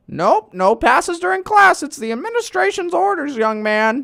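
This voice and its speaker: Using a put-on character voice, a woman talks at a moderate pace with a high pitch and very wide pitch swings. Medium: comedy sketch. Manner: prim, patronizing.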